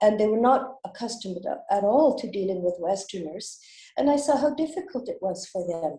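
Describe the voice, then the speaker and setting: A somewhat breathy voice with a dark, mellow tone and a Canadian accent, very wide pitch swings and a fairly quick pace. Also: woman, fairly high pitch for a woman. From western Canada, British Columbia. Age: 70s. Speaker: school director and fundraiser. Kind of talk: interview.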